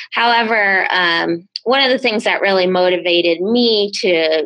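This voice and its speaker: Here is a woman with an unremarkable speaking voice at a medium pitch. She keeps a moderate pace with ordinary pitch variation. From Rhode Island / southeastern Massachusetts, US. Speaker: public health scientist. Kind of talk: interview.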